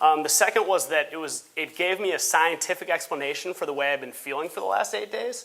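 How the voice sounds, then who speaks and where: A very fast pace with hardly any pauses, a bright, sharp tone and vocal fry. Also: man, fairly high pitch for a man. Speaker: law student. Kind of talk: personal testimony on a panel. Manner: halting, many fillers.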